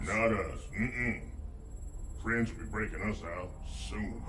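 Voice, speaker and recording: A man's cartoonish character voice at medium pitch and a fairly slow pace, over loud background noise. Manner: rough, boastful.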